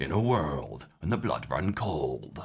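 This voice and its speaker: In a put-on character voice, a man speaks very deep and low, raspy and fairly slow. His pitch swings very widely. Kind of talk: voiceover. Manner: dramatic, pausing at phrase ends.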